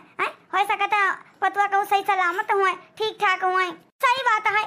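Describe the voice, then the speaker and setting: Doing a cartoonish character voice, a woman speaks at an extremely high pitch and a fairly quick pace, in a monotone, flat intonation. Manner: warm, chatty, filler-heavy.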